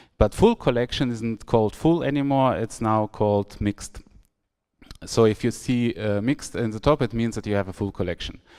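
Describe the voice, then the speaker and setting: The voice has a German accent and a dark, mellow tone with ordinary pitch variation. It moves at a moderate pace on a very clean recording with a silent background. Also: man, medium pitch for a man. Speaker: software architect giving a tech talk. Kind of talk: conference talk. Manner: hesitant, many fillers.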